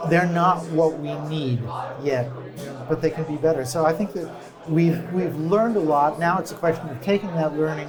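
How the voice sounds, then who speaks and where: An American-accented man's fairly high voice at a moderate pace with ordinary pitch variation, amid audible room echo and noticeable background noise. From United States. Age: 60s. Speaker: design company CEO. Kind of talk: interview. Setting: conference.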